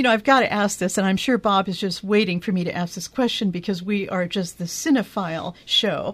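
Hardly pausing at all, a woman at medium pitch talks at a fairly quick pace with ordinary pitch variation. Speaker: radio host. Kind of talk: casual chat. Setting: studio. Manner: animated.

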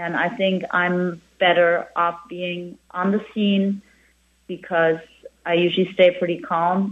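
A woman's fairly low voice in a flat, monotone delivery. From Germany (Hamburg). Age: 50s. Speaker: restaurant owner and chef. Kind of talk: interview.

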